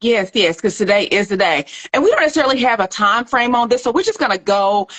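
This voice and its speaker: A woman with a Southern US accent, fairly high pitch and fairly quick pace. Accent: Southern twang. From US South, Little Rock, Arkansas. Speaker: nutrition doctor and plant-based food entrepreneur. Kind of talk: casual livestream chat. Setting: social media live video. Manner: relaxed, laid-back.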